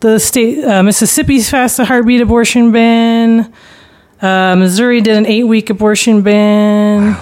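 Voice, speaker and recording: A woman with an ordinary speaking voice and a fairly high pitch talks at a moderate pace, with fairly even intonation and very even loudness. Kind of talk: casual discussion. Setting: studio.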